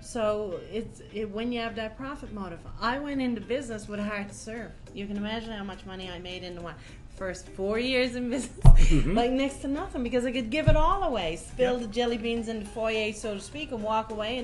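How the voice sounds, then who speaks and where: Speaking at a fairly quick pace, a woman with a Newfoundland accent uses a fairly high pitch with ordinary variation and big swings in loudness. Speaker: podcast guest, tax and business advisor. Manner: casual, candid, salty humor.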